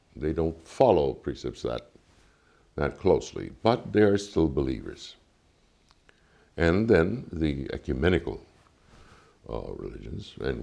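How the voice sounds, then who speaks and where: A man speaks with vocal fry. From Cuba. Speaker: ambassador. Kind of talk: interview. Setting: embassy. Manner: formal.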